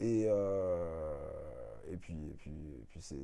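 A man speaks with a dark, mellow tone. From Martinique. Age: 30s. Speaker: tour guide and podcaster. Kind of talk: testimony interview. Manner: hesitant, many fillers.

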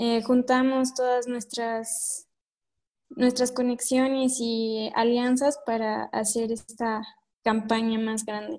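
In a high voice, a woman speaks very slowly with a monotone, flat intonation. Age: young. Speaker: youth environmental activist. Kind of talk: interview.

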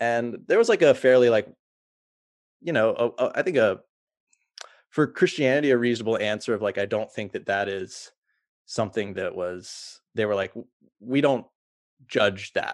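Against a quiet background, a man speaks at a moderate pace and medium pitch with ordinary pitch variation, taking long, frequent pauses. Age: 30s. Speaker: former church member sharing doubts. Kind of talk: casual chat. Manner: halting.

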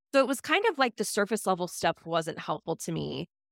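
A woman speaks at a moderate pace and medium pitch with lively intonation and vocal fry. The recording is very clean with a silent background, dry and close with no echo. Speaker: spending coach. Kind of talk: interview conversation.

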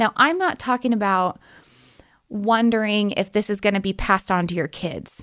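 On a very clean recording with a silent background, a woman speaks with an American accent in a normal speaking voice. Her pitch is medium, her pace moderate, and her pitch variation ordinary. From US Pacific Northwest, Portland, Oregon. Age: 30s. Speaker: nurse anesthetist and cancer patient. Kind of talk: interview testimony.

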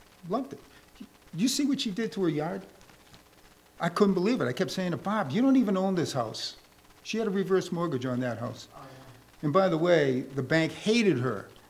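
Swinging very widely in pitch, a man speaks at a moderate pace through noticeable background noise. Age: 70s. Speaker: church friend giving eulogy. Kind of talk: eulogy. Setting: church funeral service. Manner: animated.

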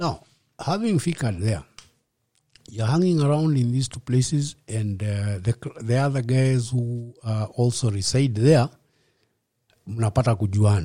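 At a fairly slow pace and a medium pitch, a man speaks in a dark, mellow, somewhat breathy tone with long, frequent pauses, in a very clean recording with a silent background. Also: ordinary pitch variation. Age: 50s. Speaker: rehab center founder, recovered alcoholic. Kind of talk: testimony. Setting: host's home.

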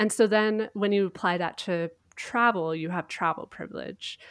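A woman with a Canadian accent in a normal speaking voice, at a moderate pace with ordinary pitch variation, in a very clean recording with a silent background. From Canada. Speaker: travel blogger and podcaster. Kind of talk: casual interview.

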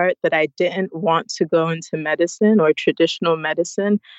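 In an American accent, a woman with a plain, everyday voice speaks at a moderate pace, her fairly low pitch held in fairly even intonation. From United States. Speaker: wellness entrepreneur. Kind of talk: interview.

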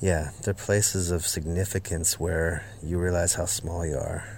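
In an American accent, a man with a very deep, low pitch speaks at a fairly slow pace, somewhat breathy, with fairly even intonation. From US Midwest, Northwest Iowa. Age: 40s. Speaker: folk musician. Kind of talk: interview.

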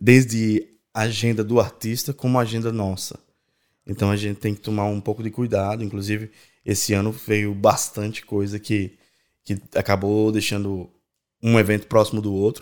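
Monotone, flat delivery at a moderate pace, in a very clean recording with a silent background. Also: man, fairly low pitch for a man. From Brazil, Natal (Rio Grande do Norte). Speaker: event producer. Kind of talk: casual interview.

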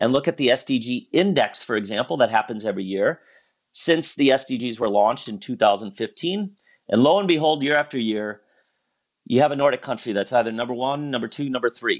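A man's plain, everyday voice with an American accent, fairly high in pitch and fairly quick, with lively intonation on a very clean recording with a silent background. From US Midwest (Wisconsin). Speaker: business school professor. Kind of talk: interview.

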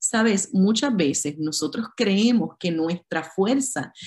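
Speaking at a very slow pace in a Puerto Rican accent, a woman sounds somewhat breathy, her pitch swinging very widely. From Puerto Rico. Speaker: pastor and conference speaker. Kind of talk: sermon.

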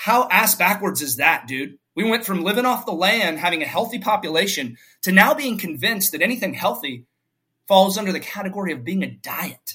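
Projecting a raised voice, a man with a high pitch and bright, sharp tone speaks fairly quickly with lively intonation. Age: 40s. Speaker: fitness coach for fathers. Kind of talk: casual interview conversation.

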